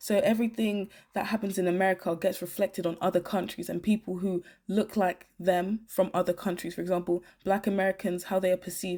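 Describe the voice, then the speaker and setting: Over a silent background on a very clean recording, the voice has a dark, mellow tone and monotone, flat intonation. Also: woman, medium pitch for a woman, fairly quick pace. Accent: British. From Britain. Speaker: YouTuber. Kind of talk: commentary video monologue.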